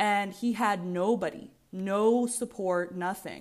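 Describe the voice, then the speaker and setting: On a very clean recording with a silent background, a woman with an American accent speaks in an animated tone at medium pitch with ordinary pitch variation. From Virginia, US. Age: 20s. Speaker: podcast host. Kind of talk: casual monologue.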